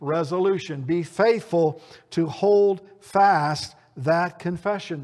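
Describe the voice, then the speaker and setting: A man talks at a high pitch for a man. The recording is very clean, with a silent background. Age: 60s. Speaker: preacher. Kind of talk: sermon. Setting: church.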